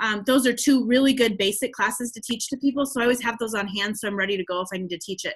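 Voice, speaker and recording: Ordinary pitch variation runs through a normal speaking voice. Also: woman. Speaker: essential oils team leader. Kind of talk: webinar tutorial. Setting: online webinar with screen share. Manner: casual, upbeat.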